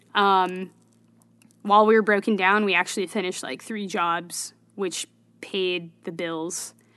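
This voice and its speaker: A woman with an American accent speaks at a fairly slow pace with long, frequent pauses, big swings in loudness and a bright, sharp tone, over a quiet background. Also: medium pitch for a woman. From Bay Area, California. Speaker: filmmaker and startup founder. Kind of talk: casual interview conversation.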